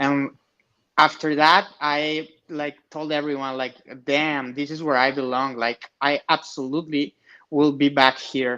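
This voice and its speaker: With a Spanish accent, a man speaks at a fairly high pitch in a bright, sharp tone. His intonation is monotone and flat against a quiet background. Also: fairly slow pace. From Mexico, Monterrey. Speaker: amateur fighter. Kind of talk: interview.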